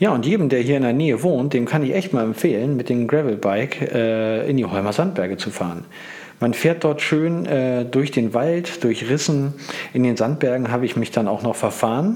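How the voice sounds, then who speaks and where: With lively intonation and a medium pitch, a man speaks at a moderate pace against noticeable background noise. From northern Germany, Hamburg. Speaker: cycling podcaster. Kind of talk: solo podcast monologue. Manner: casual, with many filler sounds.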